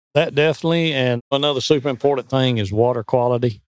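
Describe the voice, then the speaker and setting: Recorded with a dry, close sound and no echo, a man with a normal speaking voice talks at a fairly quick pace and medium pitch. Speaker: professional bass angler. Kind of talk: casual interview.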